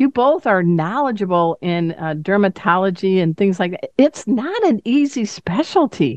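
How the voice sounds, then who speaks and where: The sound is dry and close, with no echo. A woman at a medium pitch talks with very wide pitch swings and hardly any pauses. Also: moderate pace. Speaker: radio host. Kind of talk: interview.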